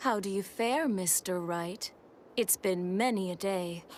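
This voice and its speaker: A female-sounding put-on character voice at a middle pitch speaks at a fairly slow pace. Clear background noise runs underneath. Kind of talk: archaic, formal, mock-grand.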